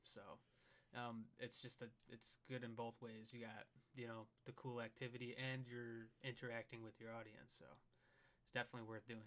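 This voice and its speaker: At a moderate pace, a man with a medium-pitched voice speaks in a monotone, flat way, his loudness swinging widely. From US Midwest, Michigan. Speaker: paranormal YouTuber. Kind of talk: casual chat on livestream.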